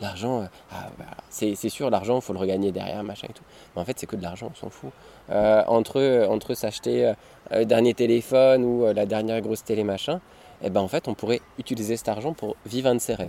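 Speaking at a fairly quick pace, a man with a medium pitch and ordinary pitch variation shows big swings in loudness. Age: 30s. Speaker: nomadic family father, traveller. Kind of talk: casual interview. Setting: outdoors by a river. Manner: halting, many repetitions.

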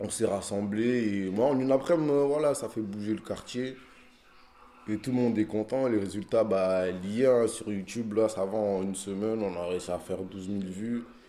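An ordinary speaking voice belongs to a man with a fairly low pitch. He keeps a moderate pace and fairly even intonation. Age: 20s. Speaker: rapper. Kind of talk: casual street interview. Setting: outdoors in the street.

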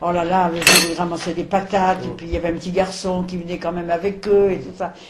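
A woman with a medium pitch talks at a fairly quick pace and with fairly even intonation, with audible room echo and noticeable background noise. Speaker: elderly witness recounting wartime childhood. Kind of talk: oral history interview. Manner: halting.

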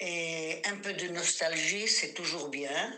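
A woman speaks at a very slow pace with a fairly low pitch and ordinary pitch variation. Audible room echo and noticeable background noise can be heard. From Morocco, then Israel from age 11. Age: 70s. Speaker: grandmother, interviewee. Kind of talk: storytelling; voice message. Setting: at home.

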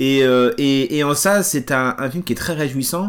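In a very clean recording with a silent background, a man with an ordinary speaking voice talks at a moderate pace with a medium pitch and ordinary pitch variation. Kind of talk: interview, analytical commentary.

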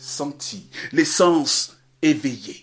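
A man speaks with very wide swings in pitch. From Ghana. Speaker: storyteller. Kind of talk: storytelling performance. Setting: remote recording during lockdown. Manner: animated. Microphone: occasional technical problems.

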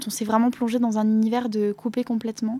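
Fairly high-pitched woman's voice at a moderate pace, with noticeable background noise. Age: 20s. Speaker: comic book author. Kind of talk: interview. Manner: halting.

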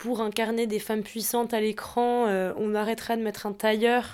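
A woman speaking at a moderate pace in a fairly high pitch, flat and monotone, on a very clean recording with a silent background. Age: 20s. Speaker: fashion content creator. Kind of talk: casual chat.

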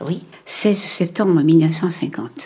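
A woman talks at a fairly low pitch. There is noticeable background noise. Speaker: documentary interviewee, grandmother. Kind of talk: intimate conversation. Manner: halting.

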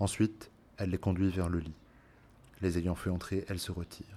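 A man's very deep, low voice in a solemn, dramatic tone. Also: very clean recording, silent background. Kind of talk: literary audiobook reading, narrated Homeric tale. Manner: solemn, dramatic and emotional in the recognition and tears scene.

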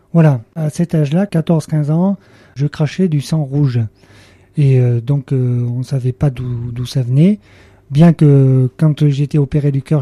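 Very slowly and with long, frequent pauses, a man speaks in a dark, mellow tone at a fairly high pitch. His pitch variation is ordinary, and the sound is dry and close with no echo. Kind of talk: radio interview testimony. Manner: halting, many hesitations.

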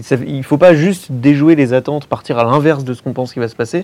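On a very clean recording with a silent background, a man with a fairly high pitch and ordinary pitch variation has an unremarkable speaking voice. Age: 30s. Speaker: film podcaster. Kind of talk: casual panel discussion. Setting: filmed panel in a cinema.

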